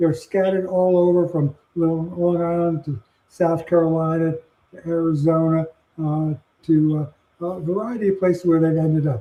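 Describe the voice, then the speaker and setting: A man with a high pitch talks at a moderate pace in fairly even intonation. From New York City. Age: 80s+. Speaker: retired physician and health administrator. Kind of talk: podcast interview.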